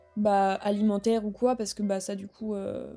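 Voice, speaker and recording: A woman speaks at a fairly high pitch with a dark, mellow tone. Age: 20s. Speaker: podcast host and content creator. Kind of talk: casual chat. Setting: at home, sitting in bed. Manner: animated.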